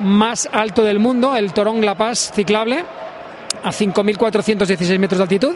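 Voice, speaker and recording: This man speaks at a very slow pace in a high pitch. Noticeable background noise runs behind him. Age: 50s. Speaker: adventure athlete and event organizer. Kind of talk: interview. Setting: trade fair. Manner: halting.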